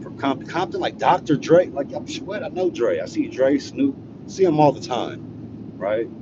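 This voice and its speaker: A man with an American accent talks at a moderate pace with big swings in loudness over noticeable background noise. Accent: West Coast, sounds proper to Texans. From California, Los Angeles. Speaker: live streamer, storyteller. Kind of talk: casual live-stream storytelling. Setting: live stream.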